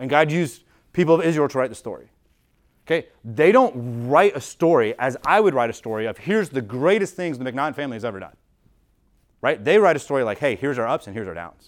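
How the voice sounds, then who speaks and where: A man with an American accent speaks at a fairly high pitch in a plain, everyday voice, with big swings in loudness. The recording is very clean, with a silent background. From US. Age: 30s. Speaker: pastor. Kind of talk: sermon. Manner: casual, filler-heavy.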